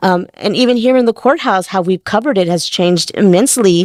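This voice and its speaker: A woman with an American accent uses a normal speaking voice at medium pitch, talking at a fairly quick pace with ordinary pitch variation in a dry, close sound with no echo. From South Texas, rural Wilson County. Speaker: TV court reporter. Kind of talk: interview conversation.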